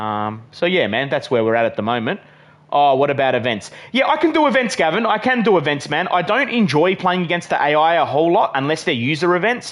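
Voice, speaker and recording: A man talks at a very fast pace with an Australian accent. His fairly high pitch swings very widely, while his loudness stays very even. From Western Australia. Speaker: gaming live streamer. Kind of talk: live stream chat and gameplay commentary. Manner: casual, filler-heavy.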